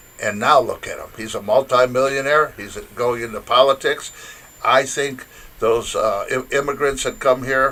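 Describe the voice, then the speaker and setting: A man with a Michigan accent at a moderate pace, over noticeable background noise. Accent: Midwestern US (Michigan). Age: 70s. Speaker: interview guest. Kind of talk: casual interview. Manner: halting, many fillers.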